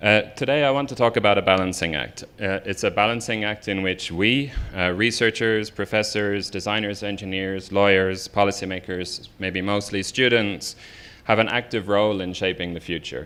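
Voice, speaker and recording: A man with an Irish accent speaks at a moderate pace in a fairly low voice. His tone is bright and sharp, with ordinary pitch variation. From Ireland. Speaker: researcher and professor. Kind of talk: lecture. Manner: hesitant, many fillers.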